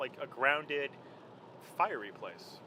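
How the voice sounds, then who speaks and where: Noticeable background noise sits behind the speaker. A man talks at a fairly slow pace. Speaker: fitness trainer. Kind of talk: casual chat. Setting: in a car.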